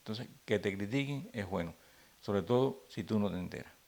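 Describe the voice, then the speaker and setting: A man talks very fast in a fairly low voice whose pitch varies in an ordinary way. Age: 60s. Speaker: comedian. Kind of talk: interview. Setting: at home.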